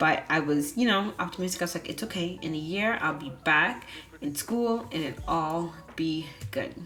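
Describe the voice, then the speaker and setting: Over music in the background and with audible room echo, a woman with a fairly low pitch talks at a moderate pace with lively intonation. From Bahamas. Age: 20s. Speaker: vlogger, architecture student. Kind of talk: personal vlog narration.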